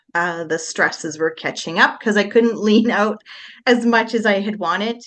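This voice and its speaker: A plain, everyday voice from a woman, medium in pitch, moderately paced, with ordinary pitch variation. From Manitoba, Canada. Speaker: interviewee sharing life story. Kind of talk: interview.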